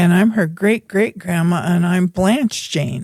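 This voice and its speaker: Speaking at a fairly slow pace, a woman has a fairly low pitch, a dark, mellow tone, a somewhat breathy quality and ordinary pitch variation. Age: 90s. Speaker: grandmother and gardener. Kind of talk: casual chat.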